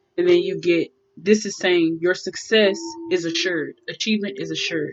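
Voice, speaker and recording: Talking at a fairly quick pace, a woman has a medium pitch. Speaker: tarot reader. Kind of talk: tarot reading for a client.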